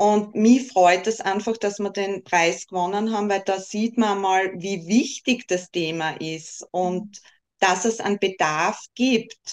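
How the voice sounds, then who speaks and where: Very slow in pace, a woman speaks with fairly even intonation. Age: 30s. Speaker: breast cancer patient advocate, wig stylist. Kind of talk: interview.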